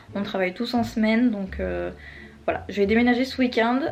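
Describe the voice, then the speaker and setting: Her voice somewhat breathy, a woman speaks with a fairly high pitch and fairly even intonation. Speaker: vlogger. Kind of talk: casual vlog. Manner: soft-spoken.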